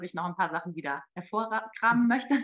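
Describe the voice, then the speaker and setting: Lively in intonation, a woman speaks very fast. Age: 30s. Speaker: mother and marketing employee. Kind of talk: interview. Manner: halting, many fillers.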